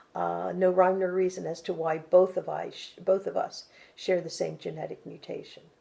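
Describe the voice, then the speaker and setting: A woman at a moderate pace, with big swings in loudness. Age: 60s. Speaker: cancer survivor interviewee. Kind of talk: interview testimony.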